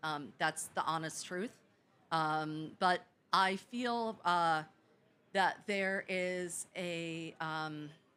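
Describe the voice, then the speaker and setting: Loud and bright with a sharp edge, a woman's fairly low voice moves at a very slow pace with ordinary pitch variation. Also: very clean recording, silent background. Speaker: coastal protection tech CEO. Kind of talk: panel Q&A answer.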